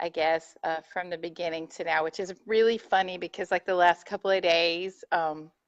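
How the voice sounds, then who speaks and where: In a Texan accent, a woman with a fairly low pitch speaks at a moderate pace with hardly any pauses. Her intonation is monotone and flat, and the sound is dry and close with no echo. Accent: Texas country. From North Texas. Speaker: furniture painter. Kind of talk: interview. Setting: live video stream. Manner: loud, voice carries.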